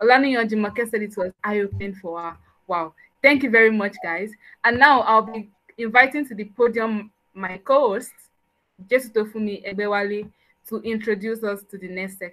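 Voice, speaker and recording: Against a quiet background, a woman with a fairly high pitch and a bright, sharp tone talks at a moderate pace, showing ordinary pitch variation and big swings in loudness. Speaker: event host/MC; event host, MC. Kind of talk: event hosting. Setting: video call. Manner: enthusiastic. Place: home room.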